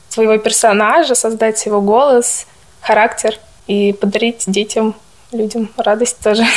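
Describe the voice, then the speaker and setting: Moderate pace and fairly even intonation over noticeable background noise. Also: woman. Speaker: nursing student. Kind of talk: interview.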